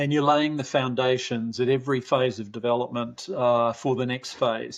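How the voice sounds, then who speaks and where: Speaking at a moderate pace with an Australian accent, a man holds a medium pitch that varies in an ordinary way. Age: 70s. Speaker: parenting researcher, professor. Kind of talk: podcast interview.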